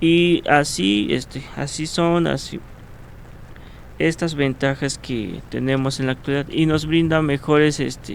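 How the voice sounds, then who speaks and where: With a Mexican accent, a man speaks in a fairly high pitch with ordinary pitch variation. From Mexico, Cuentepec, Morelos. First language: Nahuatl (speaking Spanish). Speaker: ethnohistory student and Nahuatl teacher. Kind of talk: interview. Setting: radio studio. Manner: hesitant, many fillers.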